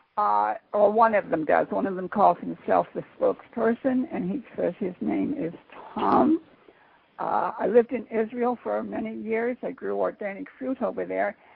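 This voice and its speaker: A woman talks at a moderate pace. Behind her, noticeable background noise can be heard. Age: 80s+. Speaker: psychic medium. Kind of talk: interview. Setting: internet radio show. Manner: halting, many fillers.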